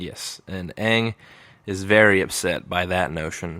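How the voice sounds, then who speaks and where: Mumbling at a very slow pace, in a bright, sharp tone with fairly even intonation. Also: man. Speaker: podcast co-host. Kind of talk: casual chat.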